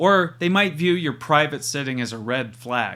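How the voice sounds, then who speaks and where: In an American accent, a man speaks with lively intonation, a bright, sharp tone and a fairly high pitch. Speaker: university lecturer. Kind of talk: recorded lecture.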